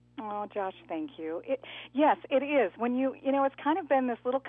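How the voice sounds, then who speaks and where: A woman speaks fairly quickly in a plain, everyday voice, with lively intonation. Her pitch sits fairly high. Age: 60s. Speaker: retiring TV news anchor. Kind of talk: radio interview.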